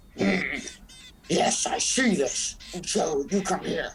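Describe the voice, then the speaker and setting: A man puts on a gruff, raspy character voice pitched high. He drags it out at a very slow pace. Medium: audio drama. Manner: gruff, clipped, broken English.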